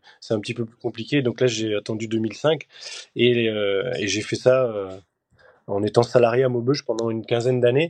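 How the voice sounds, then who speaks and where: A man's medium-pitched voice at a moderate pace, with fairly even intonation and a quiet background. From Belgium. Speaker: champion skydiver. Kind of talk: interview. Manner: hesitant with fillers.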